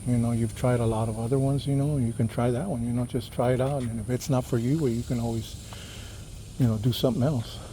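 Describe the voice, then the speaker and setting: A man's somewhat breathy, medium-pitched voice with a dark, mellow tone and an American accent. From California (Los Angeles), Texas-born. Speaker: cycling vlogger. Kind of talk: casual vlog monologue. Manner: soft-spoken; hesitant, many fillers.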